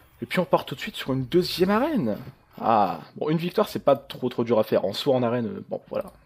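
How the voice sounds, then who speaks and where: A man speaks at a very fast pace. His fairly high voice makes very wide pitch swings. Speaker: gaming youtuber. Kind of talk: gameplay commentary. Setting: home recording with webcam. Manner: casual, hesitant with fillers.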